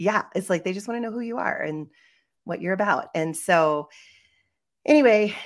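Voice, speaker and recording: The recording is very clean with a silent background, and a woman speaks in an ordinary speaking voice with ordinary pitch variation. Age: middle-aged. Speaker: podcast co-host, life coach. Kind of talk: casual chat.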